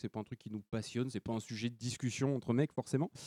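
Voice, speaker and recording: Fairly even in intonation, the voice has a dark, mellow tone and a dry, close sound with no echo against a quiet background. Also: man. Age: 30s. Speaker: podcast guest presenting a beauty and self-care segment. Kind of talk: casual chat.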